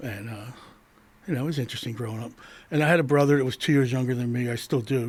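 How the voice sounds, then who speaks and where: A man with an American accent talks at a very fast pace, yet with long, frequent pauses. His pitch is medium, with ordinary pitch variation. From Delaware, US (Wilmington area). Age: 60s. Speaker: recovering addict, military veteran. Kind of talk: casual interview.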